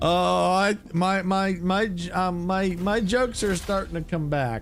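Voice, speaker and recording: A man's high-pitched voice with ordinary pitch variation at a fairly slow pace. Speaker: gaming streamer. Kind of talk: live gameplay commentary. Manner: halting; casual.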